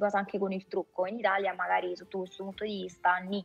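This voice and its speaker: Over faint background music, a woman speaks very fast at a medium pitch with monotone, flat intonation. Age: 40s. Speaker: voice actress. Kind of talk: casual interview chat. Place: home room. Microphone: video call.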